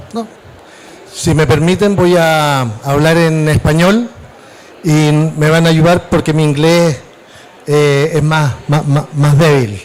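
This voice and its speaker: With long, frequent pauses, a man talks at a moderate pace in a fairly high pitch, his loudness very even and his pitch variation ordinary, over noticeable background noise. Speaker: mayor. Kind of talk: panel presentation.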